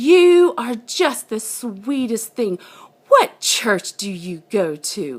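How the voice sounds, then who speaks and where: A woman puts on a character voice in a Southern accent, with fairly high pitch and very wide pitch swings. She speaks at a very slow pace. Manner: sweet, friendly.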